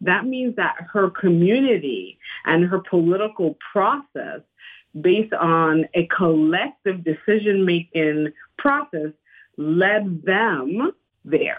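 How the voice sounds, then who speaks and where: At a very slow pace, a woman speaks with medium pitch, lively intonation and very even loudness. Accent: Panamanian. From Panama. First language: Spanish. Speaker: activist organizer. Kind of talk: radio interview.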